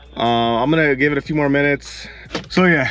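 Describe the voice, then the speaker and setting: A man speaks over faint background music. The sound is dry, without echo. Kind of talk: casual vlog chat. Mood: frustrated, resigned. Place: car. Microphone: phone near.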